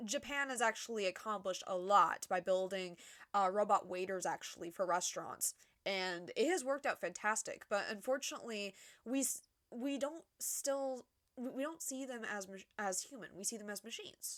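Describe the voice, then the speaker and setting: A woman's fairly high voice with lively intonation at a moderate pace, in a very clean recording with a silent background. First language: not English. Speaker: YouTube reviewer. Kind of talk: casual review commentary. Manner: halting, many repetitions and restarts.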